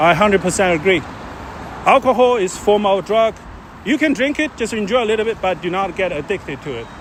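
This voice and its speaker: Noticeable background noise sits behind this recording. A man with a Chinese accent speaks at a high pitch. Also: lively intonation, fairly quick pace. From China. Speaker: live streamer. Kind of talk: casual chat. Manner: halting.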